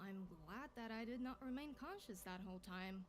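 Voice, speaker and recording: A robotic, put-on character voice, female-sounding and medium in pitch, at a moderate pace with clear background noise. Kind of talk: video game voice acting. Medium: video game. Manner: deadpan, half robotic, half human.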